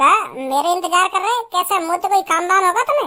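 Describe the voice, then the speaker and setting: This cartoonish character voice is extremely high and squeaky. It moves at a fairly quick pace. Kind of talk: comic cartoon dialogue.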